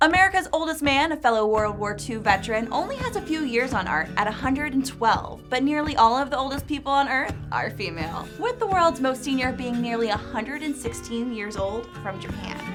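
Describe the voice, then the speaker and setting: With music in the background, a woman with a high pitch talks at a fairly quick pace with hardly any pauses and lively intonation. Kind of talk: documentary narration.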